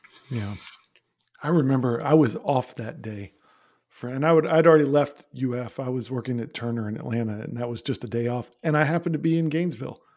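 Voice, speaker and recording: A man's unremarkable speaking voice at medium pitch, fairly quick, with ordinary pitch variation. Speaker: podcast host and former radio DJ. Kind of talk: casual chat.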